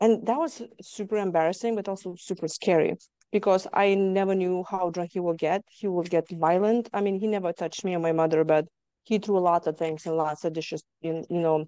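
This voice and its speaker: A woman speaks at a fairly quick pace with a slight Lithuanian accent, her pitch medium and her intonation fairly even. Her tone is dark and mellow, and the sound is dry and close with no echo against a quiet background. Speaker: trauma survivor guest. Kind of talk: interview testimony.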